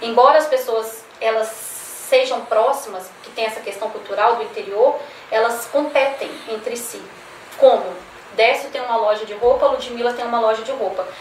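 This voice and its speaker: A woman with a fairly high pitch and fairly even intonation speaks at a moderate pace with big swings in loudness, amid audible room echo and noticeable background noise. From Minas Gerais, Brazil (Belo Horizonte). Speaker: coach and entrepreneur. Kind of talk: casual chat.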